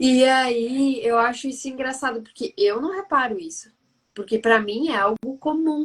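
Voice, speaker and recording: Speaking fairly slowly, a woman with a high voice uses lively intonation. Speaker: live stream host, entrepreneur. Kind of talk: live stream conversation.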